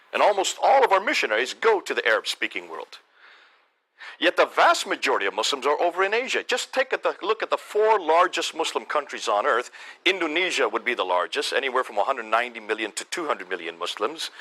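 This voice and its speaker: A man speaks with an American accent. He talks very fast. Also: dry, close sound with no echo. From India (American missionary school in the Himalayas). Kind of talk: lecture to a church audience.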